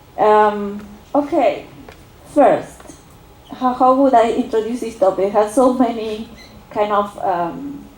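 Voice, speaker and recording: A woman's fairly high voice, fairly slow and lively in intonation, over noticeable background noise. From Argentina. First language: Spanish. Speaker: political science researcher. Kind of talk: academic seminar talk. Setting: university seminar with audience. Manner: halting, many fillers.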